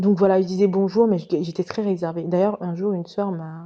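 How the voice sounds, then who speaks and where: With a dark, mellow tone, a woman speaks calmly and with fairly even intonation. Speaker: former Jehovah's Witness storyteller. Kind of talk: personal storytelling monologue. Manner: hesitant with many fillers.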